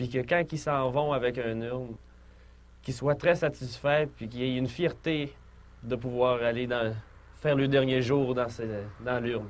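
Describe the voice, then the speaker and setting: Speaking with a Lac-Saint-Jean accent, a man talks at a fairly slow pace and a medium pitch, with fairly even intonation and long, frequent pauses. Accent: Lac-Saint-Jean Quebec French. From Quebec, Lac-Saint-Jean region. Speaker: urn maker starting a business. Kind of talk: testimony.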